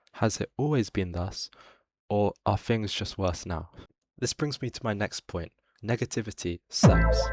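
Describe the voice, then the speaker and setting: Someone with a British accent speaks at a fairly slow pace with ordinary pitch variation, in a dry, close sound with no echo, while music plays in the background. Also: man, fairly low pitch for a man. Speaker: political commentator. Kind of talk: video essay commentary. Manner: whispered.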